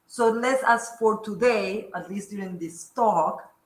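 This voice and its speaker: A fairly high, bright and sharp female voice at a fairly slow pace, with audible room echo. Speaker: academic speaker. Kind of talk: lecture. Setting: lecture room with audience.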